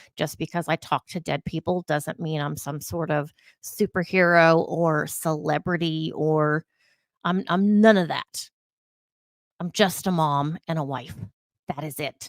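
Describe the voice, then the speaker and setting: With an American accent, a woman speaks in a very deep, low pitch and fairly even intonation, in a dry, close sound with no echo on a very clean recording with a silent background. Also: fairly slow pace. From California. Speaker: vlogger and psychic medium. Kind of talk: casual vlog monologue.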